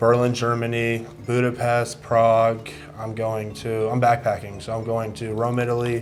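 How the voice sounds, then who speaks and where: Over music in the background and audible room echo, a man speaks at a medium pitch and moderate pace in a flat monotone. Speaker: blind date contestant. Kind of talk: casual chat.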